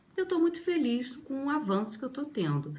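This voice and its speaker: Somewhat breathy, a woman talks at a moderate pace while her pitch swings very widely. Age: 60s. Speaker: language student. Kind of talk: testimonial.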